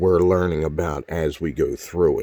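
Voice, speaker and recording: A man's very deep, low voice carries a dark, mellow tone. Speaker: vlogger. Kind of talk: casual rant. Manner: fast; animated.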